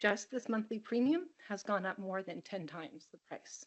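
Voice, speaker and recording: This is a woman with a normal speaking voice at a medium pitch. Her intonation is lively. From California, Monterey County. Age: 50s. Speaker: teacher giving public comment. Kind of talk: public comment testimony. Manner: earnest, pleading.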